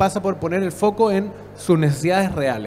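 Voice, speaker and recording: Music plays in the background. The speaker has a Chilean accent and a fairly quick pace. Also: man. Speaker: public innovation expert, panelist. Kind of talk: conference panel talk.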